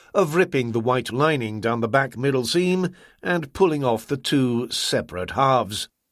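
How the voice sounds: Text read in a natural reading voice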